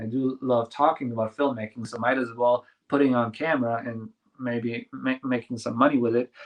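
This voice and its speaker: This is a man speaking. He has a German accent. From Germany, small village. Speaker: filmmaker and YouTuber. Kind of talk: interview. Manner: halting.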